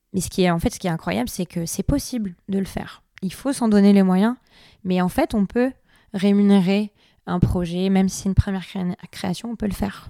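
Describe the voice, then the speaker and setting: A dark, mellow tone with ordinary pitch variation, dry and close with no echo, in a very clean recording with a silent background. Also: woman, medium pitch for a woman, moderate pace. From France, Basque Country (Biarritz). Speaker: dancer and choreographer. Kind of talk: casual interview.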